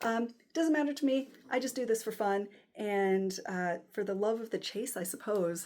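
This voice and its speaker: A woman's fairly high voice with lively intonation at a moderate pace, on a very clean recording with a silent background. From United States. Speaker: watch collector YouTuber. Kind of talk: casual unboxing vlog. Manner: hesitant, many fillers.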